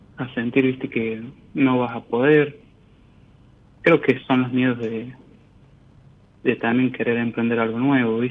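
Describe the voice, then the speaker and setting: With long, frequent pauses, a man speaks fairly slowly at a medium pitch in a monotone, flat intonation. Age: 20s. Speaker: caller. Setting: phone call.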